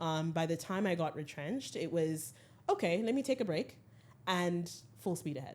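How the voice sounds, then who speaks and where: Her intonation lively, a woman with a fairly low voice speaks at a moderate pace. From Zimbabwe, with childhood moves (Cuba, US, South Africa, UK). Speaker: skincare brand founder. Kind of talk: podcast interview. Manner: frequent filler 'um'.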